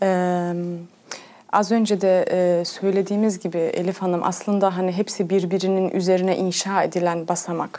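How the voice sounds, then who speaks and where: A woman's dark, mellow voice in a monotone, flat delivery. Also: medium pitch for a woman, moderate pace. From Germany. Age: 30s. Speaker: pedagogue. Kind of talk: TV interview. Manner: hesitant, many fillers.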